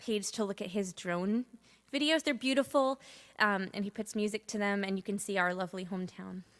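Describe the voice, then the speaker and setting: A woman with an American accent, an ordinary speaking voice and medium pitch talks at a moderate pace with ordinary pitch variation, recorded dry and close with no echo on a very clean recording with a silent background. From Massachusetts, US. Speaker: singer-songwriter livestreaming. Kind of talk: casual livestream chat.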